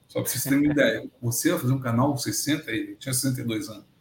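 This is a man with a somewhat breathy voice. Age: 60s. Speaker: agronomy consultant and professor. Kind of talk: interview storytelling.

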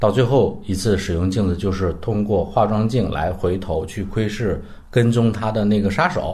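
In a room with audible echo, a man speaks at a moderate pace with hardly any pauses, his fairly low, somewhat breathy voice dark and mellow, with ordinary pitch variation. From northern Heilongjiang, north of Harbin, China. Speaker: film critic. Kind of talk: casual film discussion.

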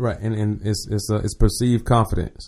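A man with an American accent, fairly low pitch, a dark, mellow tone and a somewhat breathy sound, at a moderate pace. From Jacksonville, Florida. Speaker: motivational speaker, Navy veteran. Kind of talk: casual chat. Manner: conversational.

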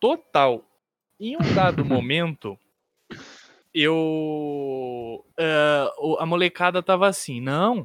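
On a very clean recording with a silent background and a dry, close sound with no echo, a man speaks with lively intonation. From interior of São Paulo state, Brazil. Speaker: designer and game streamer. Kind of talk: casual chat.

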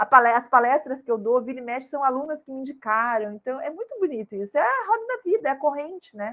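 This woman has a high pitch and lively intonation, with big swings in loudness. She talks at a very fast pace with hardly any pauses. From southern Brazil, Curitiba. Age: 50s. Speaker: self-love course creator and speaker. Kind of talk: casual interview.

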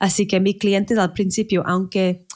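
A woman is speaking. She has an English accent. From Manchester, northern England. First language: English (speaking Spanish). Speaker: wedding planner. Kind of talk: casual interview. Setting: remote recording in separate rooms. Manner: halting.

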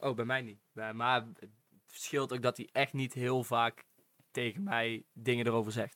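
A man speaks at a fairly slow pace and medium pitch, with fairly even intonation, a bright, sharp tone and a dry, close sound with no echo. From North Brabant, Netherlands (Venhorst). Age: young. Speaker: podcast guest, student. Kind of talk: casual chat.

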